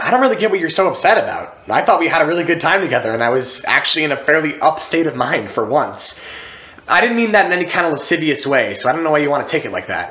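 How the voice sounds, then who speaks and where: Nervous and anxious, a man talks at a very fast pace and a high pitch with lively intonation. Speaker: actor performing a monologue. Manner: halting, stammering, with repeated restarts and filler 'like' and 'you know'; earnest, nervous, rambling, with a tentative, anxious rush of words. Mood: earnest, slightly defensive. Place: home room.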